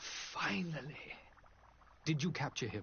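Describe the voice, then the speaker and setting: Someone puts on a character voice over clear background noise. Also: man. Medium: video game.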